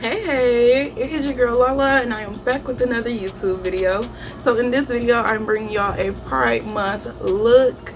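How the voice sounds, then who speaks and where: A woman speaks at a fairly high pitch with ordinary pitch variation. Audible room echo and noticeable background noise are present. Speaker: beauty youtuber. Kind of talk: makeup tutorial. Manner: fast.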